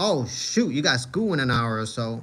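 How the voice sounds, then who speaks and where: There is audible room echo around this man, who speaks with an American accent. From New York City, Manhattan. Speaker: live streamer, MMA commentator. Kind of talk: casual live stream chat. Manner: casual, filler-heavy.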